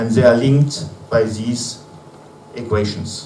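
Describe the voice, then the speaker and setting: A speaker with a non-native accent keeps a fairly even intonation. Audible room echo and noticeable background noise fill the recording. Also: man. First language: not English. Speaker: conference speaker, researcher. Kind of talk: conference presentation. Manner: slow; halting, many fillers.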